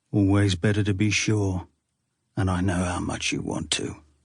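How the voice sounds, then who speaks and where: A man speaks in a put-on character voice at a moderate pace, fairly low in pitch, with monotone, flat intonation. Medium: audio drama. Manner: calm, intimate, goading.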